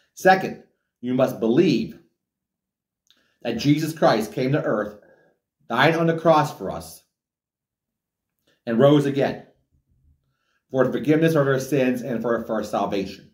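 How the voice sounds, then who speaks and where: A man at a fairly slow pace with long, frequent pauses, audible room echo and a quiet background. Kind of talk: sermon-like message to camera. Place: home room. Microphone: camera far.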